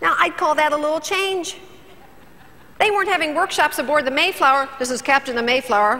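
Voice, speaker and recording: A woman speaks in a raised, projected voice with a high pitch and lively intonation. Background noise is noticeable. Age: 60s. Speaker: motivational speaker. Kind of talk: keynote speech. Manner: animated.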